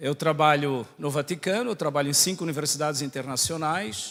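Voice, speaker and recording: The speaker has a Santa Catarina accent. The pace is fairly quick, with ordinary pitch variation. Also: man. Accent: Santa Catarina accent, sounds like Portugal. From Brazil, Santa Catarina. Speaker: priest and theology professor. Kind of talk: lecture.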